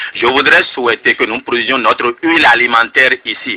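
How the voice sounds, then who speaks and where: A man talks at a fairly quick pace over noticeable background noise. The sound is dry and close, with no echo. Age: 40s. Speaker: presidential candidate. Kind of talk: radio interview. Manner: impassioned.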